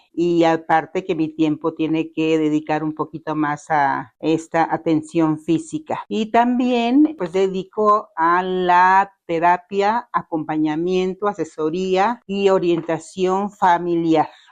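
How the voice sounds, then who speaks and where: At a very slow pace, a woman talks with a fairly low pitch and ordinary pitch variation. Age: 60s. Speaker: family therapist, community leader. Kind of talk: testimony interview.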